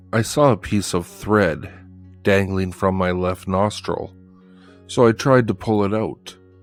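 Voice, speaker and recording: A man's very deep, low voice at a fairly slow pace, with music in the background. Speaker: horror story narrator. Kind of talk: horror story narration.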